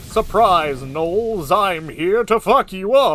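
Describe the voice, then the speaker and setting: A man's put-on character voice, high-pitched and delivered at a fairly slow pace. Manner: bold, heroic, playful menace.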